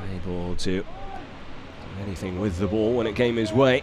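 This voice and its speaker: Fairly low-pitched, a man speaks at a moderate pace with fairly even intonation. Noticeable background noise is present. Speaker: football commentator. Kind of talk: live play-by-play football commentary, calm and measured. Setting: stadium commentary position.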